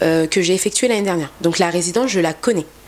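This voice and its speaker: Noticeable background noise behind a woman's medium-pitched voice with ordinary pitch variation. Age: 20s. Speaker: travel agency founder. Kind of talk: interview.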